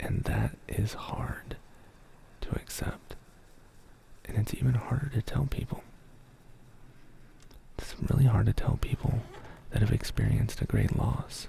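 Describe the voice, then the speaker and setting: A man whispering at a fairly slow pace, with long, frequent pauses and noticeable background noise. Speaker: ASMR creator. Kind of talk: casual talk to stream chat. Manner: soft-spoken.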